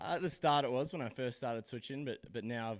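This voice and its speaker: A man talks with an Australian accent. His pace is very fast. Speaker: college baseball player. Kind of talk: postgame interview. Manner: halting, with many repeated words.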